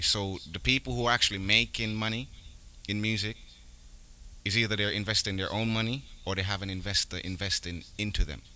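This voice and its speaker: A man with a fairly low voice and a bright, sharp tone talks at a fairly quick pace with ordinary pitch variation and long, frequent pauses. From Jamaica and Brooklyn, US. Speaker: rapper, musician. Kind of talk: interview.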